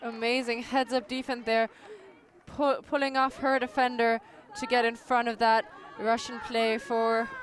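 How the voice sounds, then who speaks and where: A woman with a German accent and a fairly high pitch, flat and monotone at a moderate pace, with crowd noise behind her. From Austria. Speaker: sports commentator. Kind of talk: live commentary. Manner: halting.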